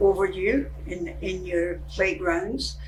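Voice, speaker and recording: A woman talks very slowly, with audible room echo and noticeable noise in the background. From Scotland, Glasgow. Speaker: senior sharing life story. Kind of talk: oral history storytelling. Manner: conversational, with hesitations.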